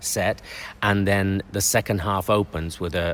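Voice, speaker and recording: A man speaks at a fairly low pitch. He has a normal speaking voice. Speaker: circus clown and panto performer. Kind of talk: radio interview answer, talking about panto writing.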